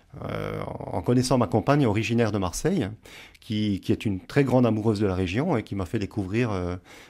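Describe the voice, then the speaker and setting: A man talks with fairly low pitch and ordinary pitch variation. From eastern France, Franche-Comté near Swiss border. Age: 50s. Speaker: novelist, teacher and former soldier. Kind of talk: radio interview. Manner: hesitant, many fillers.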